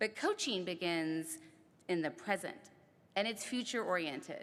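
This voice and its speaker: A woman with an ordinary speaking voice uses lively intonation while keeping a moderate pace. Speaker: ceremony speaker. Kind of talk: speech.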